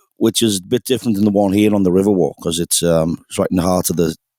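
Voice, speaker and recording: A man in a Liverpool accent, with a dry, close sound and no echo. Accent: Scouse. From England, Liverpool. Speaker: singer-songwriter, pub musician. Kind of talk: casual chat.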